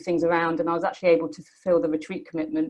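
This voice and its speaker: A woman with a British accent and a fairly low pitch. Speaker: Buddhist study programme graduate. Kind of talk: testimony. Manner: fast; hesitant with many fillers.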